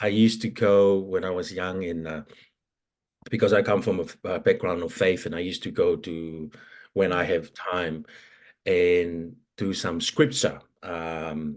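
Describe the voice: The pace is fairly slow. Intonation stays fairly even throughout. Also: man.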